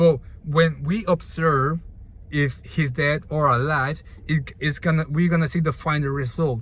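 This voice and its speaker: Somewhat breathy, a man with a Spanish accent speaks at a fairly slow pace, his fairly high pitch held in fairly even intonation. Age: 20s. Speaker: YouTuber. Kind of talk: casual explainer monologue. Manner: halting.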